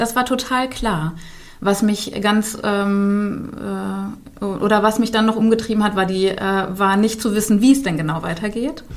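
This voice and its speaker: Audible room echo surrounds a woman speaking at a fairly slow pace with a fairly high pitch and ordinary pitch variation. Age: 40s. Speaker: business coach. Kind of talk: interview. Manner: hesitant with frequent fillers.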